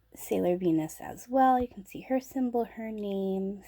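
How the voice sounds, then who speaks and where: Soft-spoken and dark, mellow in tone, a woman talks with ordinary pitch variation. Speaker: figure collector YouTuber. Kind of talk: product review. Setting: home, late at night.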